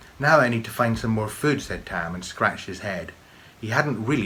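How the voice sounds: Here is a natural reading voice with ordinary pitch variation.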